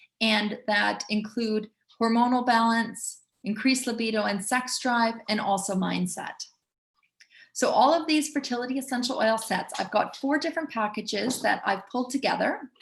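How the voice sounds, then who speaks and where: A woman speaks fairly high in pitch with a plain, everyday voice. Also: ordinary pitch variation, moderate pace. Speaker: essential oils educator. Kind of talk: webinar presentation with sales pitch.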